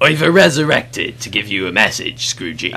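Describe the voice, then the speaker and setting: A man performs a put-on character voice at medium pitch and a fairly quick pace. Light background noise sits underneath. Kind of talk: pirate speech. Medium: machinima. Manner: theatrical.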